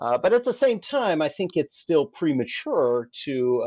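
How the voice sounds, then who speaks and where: A man speaks with an American accent. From Alaska. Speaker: historian, former navy officer. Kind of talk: academic interview.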